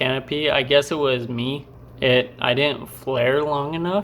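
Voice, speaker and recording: At a very slow pace, a man speaks at a medium pitch with fairly even intonation. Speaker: vlogger, skydiving student. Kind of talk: vlog narration over jump footage. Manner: casual, many fillers.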